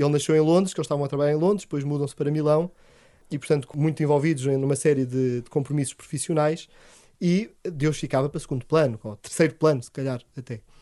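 Very fast and with big swings in loudness, a man with a fairly high, dark and mellow voice speaks over a quiet background. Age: 30s. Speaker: priest. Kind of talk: interview. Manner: enthusiastic.

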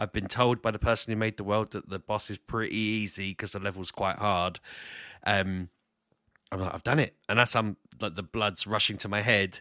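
A man's fairly low pitch and bright, sharp tone, with fairly even intonation at a moderate pace, in a dry, close sound with no echo. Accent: British. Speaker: podcast co-host and gamer. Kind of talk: casual chat.

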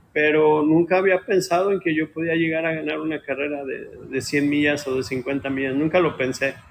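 This man has a plain, everyday voice and a fairly high pitch with fairly even intonation. He keeps a moderate pace with hardly any pauses. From Mexico, Ciudad Guzmán, Jalisco. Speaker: ultramarathon runner. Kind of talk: interview.

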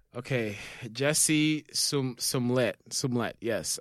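On a very clean recording with a silent background, an unremarkable speaking voice holds fairly even intonation. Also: man. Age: 30s. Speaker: podcast co-host. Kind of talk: casual chat. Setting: studio.

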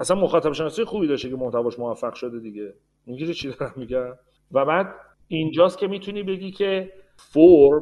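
An unremarkable speaking voice from a man, fairly high in pitch, with lively intonation at a fairly quick pace. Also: big swings in loudness. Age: 40s. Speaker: business development manager. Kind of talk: interview.

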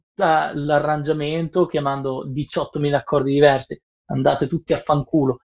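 In a dry, close sound with no echo, a man with an ordinary speaking voice talks fairly slowly at a fairly high pitch. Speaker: professional sound engineer. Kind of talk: casual chat. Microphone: Bluetooth earphones, sounding quiet.

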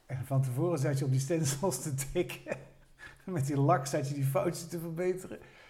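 A man with a fairly high pitch, a dark, mellow, somewhat breathy tone, fairly even intonation and a moderate pace. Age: 60s. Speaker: retired former student, amateur actor. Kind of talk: casual chat.

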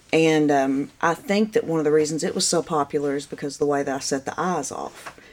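Her voice is very deep and low for a woman, with ordinary pitch variation, heard over noticeable background noise. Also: fairly quick pace. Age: 40s. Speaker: painter. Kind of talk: casual chat.

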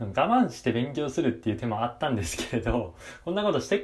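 A man talks at a fairly quick pace in a somewhat breathy voice. His pitch variation is ordinary. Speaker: university student podcaster. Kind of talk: casual monologue. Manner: hesitant with many fillers.

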